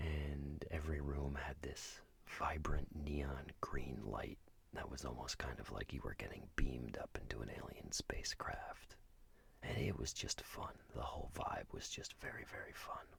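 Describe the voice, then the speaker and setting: The speaker is a man, and he whispers. He goes at a fairly slow pace. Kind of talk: ASMR road trip narration. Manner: soft-spoken, whispered, relaxing.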